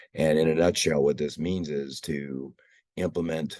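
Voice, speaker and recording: A man talks at a moderate pace with vocal fry. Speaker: water program presenter. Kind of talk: presentation. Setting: hybrid meeting, video call.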